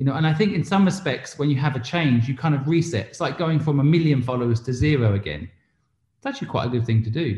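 A man with an English accent, fairly high in pitch and somewhat breathy, at a very fast pace with lively intonation. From England. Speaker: entrepreneur and investor. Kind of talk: interview.

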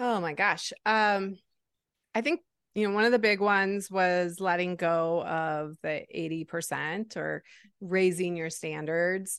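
A woman speaks at a fairly slow pace in a medium pitch with ordinary pitch variation, in an unremarkable speaking voice. The background is quiet. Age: 40s. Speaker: reinvention coach and entrepreneur. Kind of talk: interview conversation.

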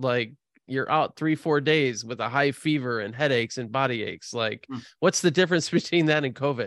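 In a dry, close recording with no echo, a man with an American accent talks at medium pitch and moderate pace with ordinary pitch variation. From US Midwest, Chicago. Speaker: podcast host. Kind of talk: casual chat. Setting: remote call.

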